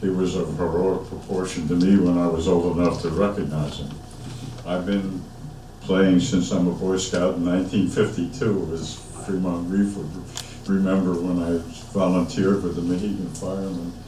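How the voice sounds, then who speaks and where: Amid noticeable background noise and audible room echo, someone with an American accent speaks at a moderate pace in a monotone, flat intonation. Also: man, very deep, low pitch for a man. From Peekskill, New York (US Northeast). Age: 80s+. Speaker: bugler. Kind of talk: ceremony remarks.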